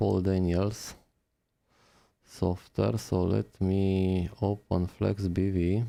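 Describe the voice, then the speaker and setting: This man has a very deep, low pitch and a dark, mellow tone, with a non-native accent. He speaks at a very slow pace in a monotone, flat intonation. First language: not English. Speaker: phone repair technician. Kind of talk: live-stream tutorial. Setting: live stream.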